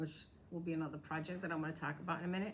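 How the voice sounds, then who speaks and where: This woman has an American accent. Her voice is somewhat breathy. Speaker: crafting podcaster. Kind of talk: casual show-and-tell vlog. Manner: fast.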